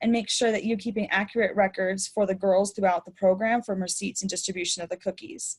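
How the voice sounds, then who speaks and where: A woman's somewhat breathy voice moves fairly quickly, its intonation fairly even. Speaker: program manager giving volunteer training. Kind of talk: webinar training. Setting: online webinar. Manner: fast.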